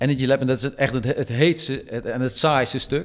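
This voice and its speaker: The recording is very clean with a silent background as a man talks in a medium-pitched voice. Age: 50s. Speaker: amateur triathlete. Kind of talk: interview storytelling. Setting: studio. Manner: halting.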